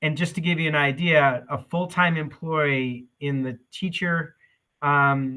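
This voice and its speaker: A man speaks fairly slowly with fairly even intonation at a fairly high pitch. He has an unremarkable speaking voice. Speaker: school district administrator. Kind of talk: budget presentation at meeting.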